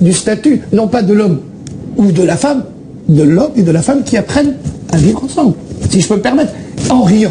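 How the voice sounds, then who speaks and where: A man with a high voice, lively intonation and a moderate pace, with noticeable background noise. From Belgium. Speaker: actor. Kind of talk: live TV interview answer. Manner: rambling, talkative.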